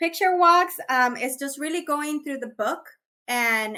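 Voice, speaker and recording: A woman speaks in a raised, projected voice with a Spanish accent. Her tone is bright and sharp, and her intonation is lively. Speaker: early childhood education trainer. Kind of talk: webinar Q&A. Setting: online webinar.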